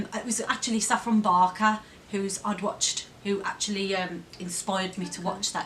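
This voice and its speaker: Over noticeable background noise, a woman speaks at a moderate pace in a medium pitch with a monotone, flat intonation. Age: 30s. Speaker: vlogger. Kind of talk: casual talk to camera.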